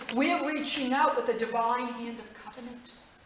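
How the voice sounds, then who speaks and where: Amid noticeable background noise and audible room echo, a woman speaks in a passionate tone at a moderate pace with ordinary pitch variation. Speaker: preacher. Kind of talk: sermon. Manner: loud.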